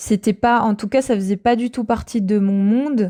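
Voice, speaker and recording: Against a quiet background, a woman speaks with a dark, mellow tone and fairly even intonation. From Normandy, France. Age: 30s. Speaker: testimony guest. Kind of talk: testimony. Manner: hesitant, many fillers.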